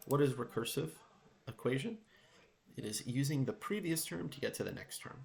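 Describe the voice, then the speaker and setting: A somewhat breathy man with very wide pitch swings, big swings in loudness, and long, frequent pauses. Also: moderate pace. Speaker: math teacher. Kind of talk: tutorial. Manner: whispering.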